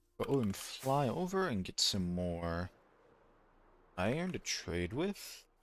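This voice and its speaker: Mumbling at a very slow pace with long, frequent pauses, a man at medium pitch lets his pitch swing very widely. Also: very clean recording, silent background. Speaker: gaming streamer. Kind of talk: casual live-stream commentary. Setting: live stream.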